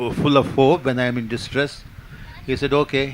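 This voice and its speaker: A man is speaking. He has a Kannada accent. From India, Karnataka. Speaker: poet and playwright. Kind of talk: panel discussion. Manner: halting, many fillers.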